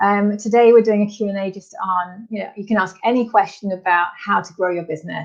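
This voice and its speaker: A woman's voice at a medium pitch. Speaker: business coach. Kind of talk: live Q&A webinar. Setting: live stream. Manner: fast; animated.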